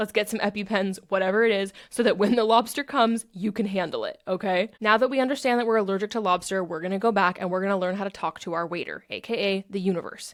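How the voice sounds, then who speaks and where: This woman speaks at a very fast pace with hardly any pauses. Her medium-pitched voice carries an animated tone. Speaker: self-help podcast host. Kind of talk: podcast monologue.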